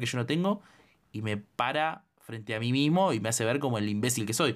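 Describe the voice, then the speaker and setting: In a Rioplatense accent, the speaker uses lively intonation on a very clean recording with a silent background. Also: man. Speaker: podcast co-host, film critic. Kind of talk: casual chat.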